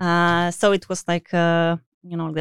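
A woman speaks at a fairly slow pace in a fairly low voice, with a dry, close sound, no echo, a very clean recording and a silent background. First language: not English. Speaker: video game UI artist. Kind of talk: interview. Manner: hesitant, many fillers.

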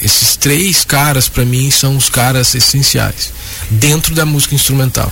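With very even loudness and fairly even intonation, a medium-pitched man talks at a fairly slow pace over noticeable background noise. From Minas Gerais, Brazil. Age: 30s. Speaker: jazz guitarist. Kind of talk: radio interview.

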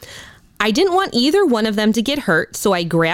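Someone simply reads aloud, plainly.

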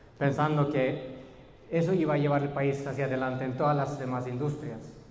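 Through audible room echo and noticeable background noise, a man speaks at a fairly high pitch. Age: 30s. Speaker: educator. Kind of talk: lecture. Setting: stage with audience.

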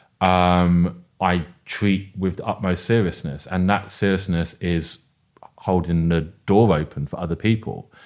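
In a London accent, a man speaks with a very deep, low pitch and fairly even intonation at a fairly slow pace. The recording is very clean, with a silent background. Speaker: event producer and educator. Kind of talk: casual interview.

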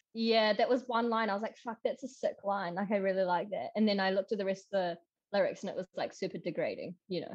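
This woman talks at a very fast pace. Her pitch varies in an ordinary way. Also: medium pitch for a woman. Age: 20s. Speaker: podcast guest, former landscaper. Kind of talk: casual chat.

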